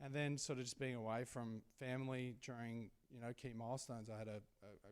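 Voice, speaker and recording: A fairly quick man with an Australian accent, a medium pitch and monotone, flat intonation. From Australia, rural Victoria. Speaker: sports team CEO and former basketball player. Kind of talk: Q&A interview at a live event. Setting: stage with audience.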